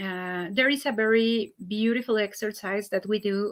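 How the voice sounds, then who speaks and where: A woman speaks with a Spanish accent at medium pitch and fairly even intonation. The sound is dry and close, with no echo. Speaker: holistic healing practitioner. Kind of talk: live stream talk. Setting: online live stream. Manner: halting, many fillers.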